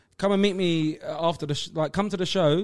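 With a Cockney accent, a man talks at a high pitch. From London. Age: 30s. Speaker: stand-up comedian. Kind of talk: casual chat.

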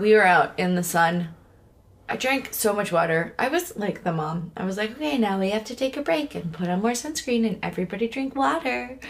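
A woman talks at a fairly quick pace, her pitch swinging very widely. Noticeable background noise runs behind her. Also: medium pitch for a woman. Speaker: podcast host. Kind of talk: casual chat.

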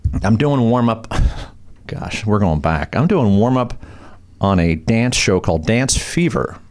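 A man with an American accent talks at medium pitch at a fairly slow pace, his tone animated and his pitch swinging very widely. Noticeable background noise runs behind him. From Long Beach, California. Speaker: TV host and comedian. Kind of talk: casual chat.

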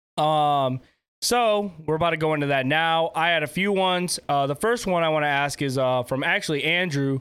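This man has an unremarkable speaking voice with a fairly high pitch. He keeps a moderate pace and shows ordinary pitch variation. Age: 20s. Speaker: podcast host and content creator. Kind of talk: casual chat. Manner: casual, filler-heavy.

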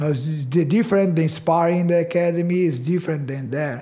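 In a Brazilian accent, a man speaks at a high pitch with a dark, mellow tone and fairly even intonation. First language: Portuguese. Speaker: karate instructor. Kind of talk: casual interview.

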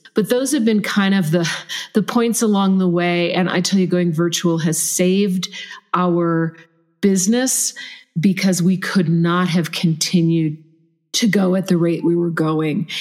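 A woman speaks at a fairly slow pace in an ordinary speaking voice, with ordinary pitch variation and very even loudness. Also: fairly low pitch for a woman. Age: 50s. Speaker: leadership coach and trainer. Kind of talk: interview conversation.

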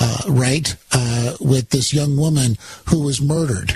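A man with an ordinary speaking voice, fairly high in pitch, talks at a moderate pace with ordinary pitch variation. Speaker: radio host. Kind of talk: live talk radio monologue. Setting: overnight radio broadcast. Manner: conversational, fillers, political commentary.

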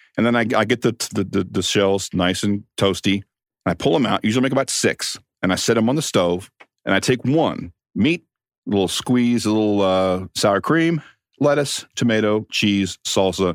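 A man with a fairly low voice and an American accent speaks in a normal speaking voice at a moderate pace, with ordinary pitch variation and very even loudness, on a very clean, dry, close recording with a silent background and no echo. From Kansas City, US Midwest. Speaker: sports radio producer. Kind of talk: casual chat.

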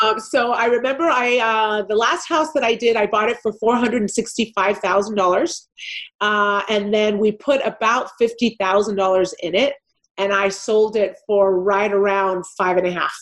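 Her loudness very even, a woman with a Californian accent talks at a fairly high pitch with ordinary pitch variation. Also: moderate pace. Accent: Californian American English. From Los Angeles, California. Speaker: real estate investor. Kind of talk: interview.

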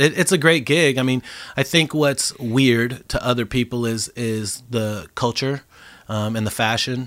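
At a fairly slow pace, a man with an unremarkable speaking voice holds a medium pitch and ordinary pitch variation in a very clean recording with a silent background. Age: 40s. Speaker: DJ and producer. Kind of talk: casual chat.

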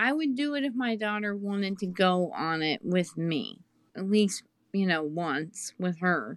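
A woman speaks in an unremarkable speaking voice at medium pitch, fairly slowly and with lively intonation. The recording is very clean, with a silent background. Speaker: podcast co-host guest. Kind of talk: casual interview chat.

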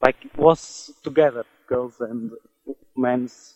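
This is a man with a medium pitch. His intonation is fairly even. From Portugal. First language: Portuguese. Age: 20s. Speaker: migrant warehouse worker. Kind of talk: interview. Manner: halting.

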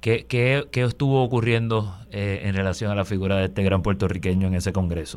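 In a very clean recording with a silent background, a man talks at a fairly quick pace with hardly any pauses and ordinary pitch variation. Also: fairly low pitch for a man. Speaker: lawyer, guest co-host. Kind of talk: radio talk show discussion. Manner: halting, many fillers.

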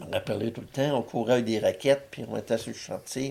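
A man talks with a dark, mellow tone at medium pitch. There is vocal fry, and his intonation stays fairly even. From Quebec, Abitibi. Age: 60s. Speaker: war veteran. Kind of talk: casual interview.

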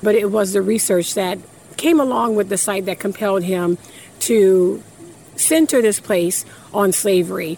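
A woman at a medium pitch and moderate pace, with long, frequent pauses amid noticeable background noise. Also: ordinary pitch variation. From Louisiana. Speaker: museum representative. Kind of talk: interview.

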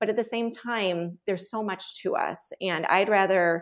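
A woman with a Chicago accent speaks at a fairly slow pace. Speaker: nurse practitioner and writer. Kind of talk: interview.

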